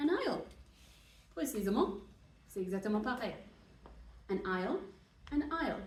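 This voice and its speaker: A woman with a non-native accent speaks at a fairly slow pace and fairly high pitch, with very wide pitch swings and long, frequent pauses. Noticeable background noise and audible room echo fill the recording. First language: English (speaking French). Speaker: university translation teacher. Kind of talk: lecture. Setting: classroom. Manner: hesitant, many fillers.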